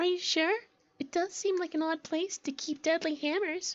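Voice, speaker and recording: In a put-on character voice, a woman talks at a moderate pace, squeaky and extremely high in pitch, with fairly even intonation. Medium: audio drama.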